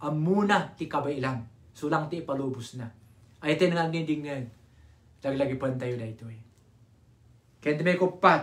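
The man speaks in an animated tone. The background is quiet. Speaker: preacher. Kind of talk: sermon, live Bible study. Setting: online live stream. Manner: animated, fervent, with call-and-response. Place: home room. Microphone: phone near.

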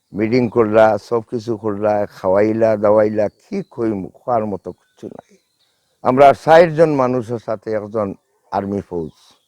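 This man speaks in a Sylheti accent with a fairly low pitch and a dark, mellow tone. His loudness swings widely, his pitch varies in an ordinary way, and the sound is dry and close with no echo. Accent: Sylheti Bengali. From Sylhet, Bangladesh. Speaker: war veteran. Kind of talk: testimony.

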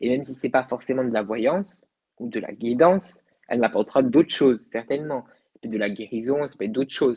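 Against a quiet background, a man with a dark, mellow tone talks at a fairly quick pace, with ordinary pitch variation and big swings in loudness. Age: 20s. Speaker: medium; guest. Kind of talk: interview about the afterlife. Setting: live video broadcast. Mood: calm, reflective. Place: home room. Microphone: earbuds.

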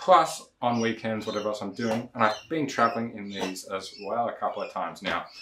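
The speech moves at a fairly quick pace, with light background noise and audible room echo. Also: man. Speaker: shoe reviewer. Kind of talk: casual review vlog. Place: home room.

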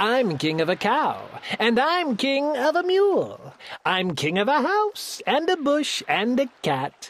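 A woman bellows in a put-on character voice, fairly high in pitch, with very wide swings up and down. She speaks slowly and barely pauses.

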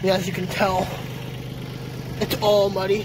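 The speech comes at a moderate pace, with a dry sound with no echo and noticeable background noise. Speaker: hobbyist vlogger. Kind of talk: casual vlog chat. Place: garden. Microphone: phone near.

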